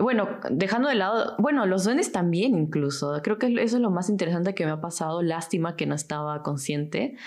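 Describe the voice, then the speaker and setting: A woman with an unremarkable speaking voice, lively intonation, a fairly quick pace and hardly any pauses. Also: fairly low pitch for a woman. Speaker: architecture student. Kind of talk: casual chat.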